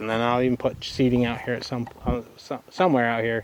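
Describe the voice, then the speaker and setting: A man's medium-pitched voice at a moderate pace over noticeable background noise. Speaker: homesteader and small video creator. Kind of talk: casual garden tour talk to camera. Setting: outdoors in garden. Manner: rambling with frequent fillers and stumbles.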